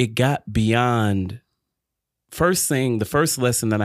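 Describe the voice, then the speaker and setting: A man with an American accent has an ordinary speaking voice. He speaks at a fairly slow pace with ordinary pitch variation. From Detroit, Michigan. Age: young. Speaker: podcast guest, small business owner. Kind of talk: faith-based interview, personal testimony.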